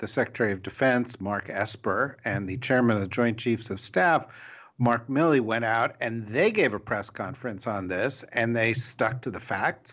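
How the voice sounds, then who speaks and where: A man with a normal speaking voice talks at a medium pitch and a moderate pace, using ordinary pitch variation. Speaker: podcast host. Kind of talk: casual panel discussion.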